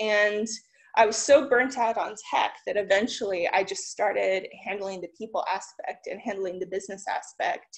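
Against a quiet background, a woman with a fairly high pitch speaks at a moderate pace with lively intonation. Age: 30s. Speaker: tech entrepreneur. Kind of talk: conference talk. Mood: encouraging, relaxed. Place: home room. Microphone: webcam.

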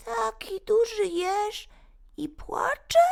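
A put-on character voice at an extremely high pitch talks at a very slow pace. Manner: teasing, gently surprised.

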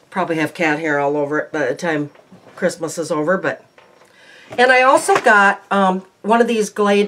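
A woman's bright, sharp voice moves through very wide pitch swings. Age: 60s. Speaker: lifestyle YouTuber. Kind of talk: haul video chat to camera. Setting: home recording. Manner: casual with frequent fillers. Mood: cheerful, chatty. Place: home room. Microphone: phone near.

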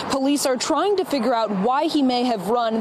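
A woman talks in a high voice. The sound is dry with no echo, though noticeable background noise comes through. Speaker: TV news reporter. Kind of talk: live TV news report. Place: street. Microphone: handheld.

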